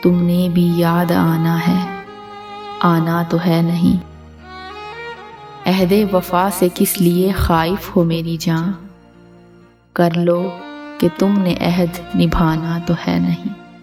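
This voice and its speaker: The delivery is monotone and flat, with very even loudness, over music in the background. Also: woman, fairly low pitch for a woman. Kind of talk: poetry reading.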